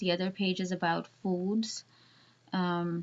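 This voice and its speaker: A woman with a non-native accent speaks at a very slow pace. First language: not English. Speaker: student web developer. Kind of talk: tutorial. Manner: halting, many fillers.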